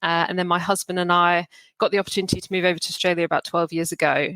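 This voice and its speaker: With a British accent, this bright, sharp-toned voice has monotone, flat intonation, heard in a very clean recording with a silent background and a dry, close sound with no echo. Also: woman. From Hong Kong, British family. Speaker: recruitment professional. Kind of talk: podcast interview. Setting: podcast recording.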